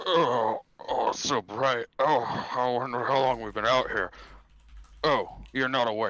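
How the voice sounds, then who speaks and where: A man speaks in a put-on character voice at medium pitch and a moderate pace, with long, frequent pauses. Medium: actual play. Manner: hesitant.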